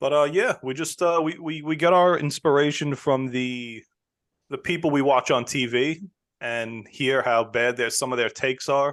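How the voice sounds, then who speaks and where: Over a quiet background, a man with a New York accent speaks at a moderate pace in a fairly high pitch. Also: ordinary pitch variation. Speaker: sports podcaster. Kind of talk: casual chat.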